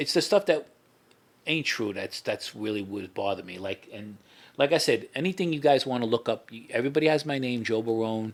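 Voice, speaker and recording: A man with a New York accent at a fairly quick pace, with lively intonation and big swings in loudness. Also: medium pitch for a man. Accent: heavy New York. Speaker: former mob associate and FBI informant. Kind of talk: interview. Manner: repetitive, informal.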